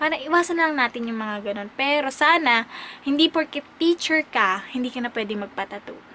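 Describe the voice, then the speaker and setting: Speech moves at a fairly quick pace through noticeable background noise. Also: woman. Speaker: vlogger and teacher. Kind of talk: casual vlog Q&A. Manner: hesitant, many fillers.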